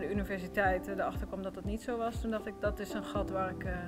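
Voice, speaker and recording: With music in the background and audible room echo, a woman talks at a very fast pace. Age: 30s. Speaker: entrepreneur. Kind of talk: interview.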